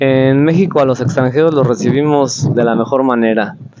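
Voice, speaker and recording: With a Mexican accent, a man speaks at a moderate pace in a fairly high pitch, showing ordinary pitch variation over noticeable background noise. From Mexico. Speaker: street interviewer, travel vlogger. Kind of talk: street interview. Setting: outdoors on the street.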